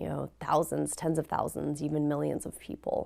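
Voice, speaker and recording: A woman with a Midwestern US accent on a very clean recording with a silent background. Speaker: professor. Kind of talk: lecture.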